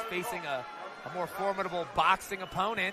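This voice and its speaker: An animated, excited man with a high pitch and a fairly quick pace, over noticeable background noise. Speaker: boxing commentator. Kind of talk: live boxing commentary. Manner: animated, fast play-by-play patter with excited exclamations.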